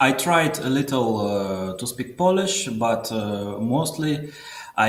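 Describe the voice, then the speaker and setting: A man with a Russian accent, medium pitch, lively intonation, and a fairly slow pace, amid audible room echo and noticeable background noise. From southern Russia. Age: 30s. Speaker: caller. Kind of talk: call-in interview. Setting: call from workplace. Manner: halting.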